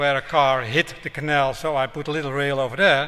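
A man with a Dutch accent, fairly high-pitched, bright and sharp in tone, at a moderate pace over a quiet background. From Netherlands. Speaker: road safety professor; guest lecturer. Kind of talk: public lecture; lecture. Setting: town hall with audience. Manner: hesitant, with fillers. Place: hall. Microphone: podium.

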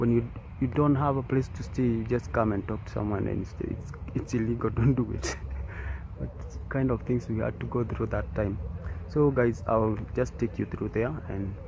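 Lively intonation from a man, dry sound with no echo, and noticeable background noise. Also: moderate pace. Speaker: vlogger. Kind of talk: casual vlog chat. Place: open country. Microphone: phone near.

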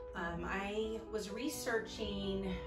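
A woman with an American accent, clear music in the background. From Orlando, Florida. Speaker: fifth grade teacher. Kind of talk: patient testimonial to camera. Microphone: phone near.

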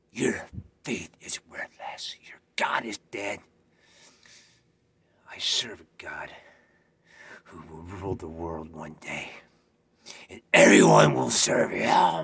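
In a put-on character voice, a man speaks raspy and very deep at a fairly slow pace, with long, frequent pauses. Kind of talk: audition scene reading. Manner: menacing, threatening.

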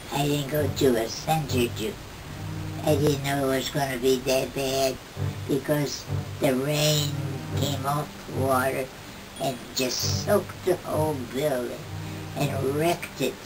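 A woman speaks at a fairly slow pace. Noticeable background noise sits behind her. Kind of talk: interview answer. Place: home room. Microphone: camera far.

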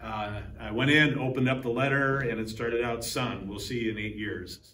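At a moderate pace and with fairly even intonation, the voice carries audible room echo and light background noise. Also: man. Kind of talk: interview answer. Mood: reflective, slightly emotional. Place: hall. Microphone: lapel.

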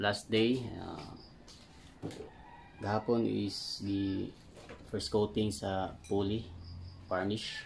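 A man speaks slowly with a fairly low pitch, fairly even intonation and vocal fry.

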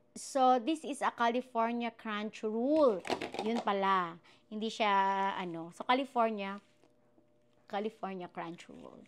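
A woman with a fairly high pitch speaks at a fairly slow pace with long, frequent pauses, ordinary pitch variation and big swings in loudness, over light background noise. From Philippines. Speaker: vlogger. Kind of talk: casual mukbang vlog. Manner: animated, laughing often. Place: kitchen. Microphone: new wireless clip mic; lapel.

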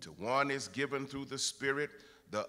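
With a bright, sharp tone, a man talks at a moderate pace. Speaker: pastor preaching. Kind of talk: sermon. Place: church. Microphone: podium.

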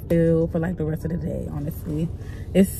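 Music plays in the background of a dry recording with no echo. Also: woman. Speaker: teacher vlogger. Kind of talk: casual vlog chat. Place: car. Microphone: phone near.

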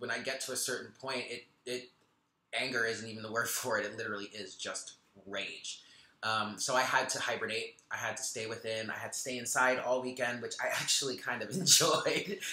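Bright and sharp in tone, a man talks at a fairly quick pace with fairly even intonation amid audible room echo. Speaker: spiritual tarot reader. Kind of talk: casual vlog chat. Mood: relaxed, lightly laughing. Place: home room. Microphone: webcam.

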